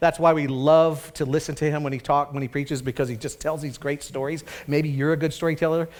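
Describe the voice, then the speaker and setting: The man's fairly high voice moves at a very fast pace with hardly any pauses. His intonation stays monotone and flat. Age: 60s. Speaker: pastor. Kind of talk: sermon. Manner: conversational.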